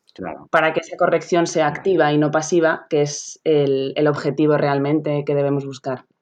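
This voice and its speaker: Her very deep, low pitch stays fairly even in intonation as this woman talks at a moderate pace. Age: 30s. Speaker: sports physiotherapist. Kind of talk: interview. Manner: explanatory.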